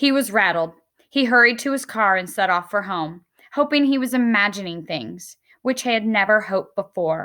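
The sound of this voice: Quiet background behind an unforced reading voice. The intonation is lively.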